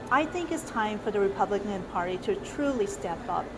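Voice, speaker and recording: Noticeable background noise mixes with audible room echo in this recording. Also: woman. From South Korea, raised in US since 1977. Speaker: political candidate. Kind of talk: interview.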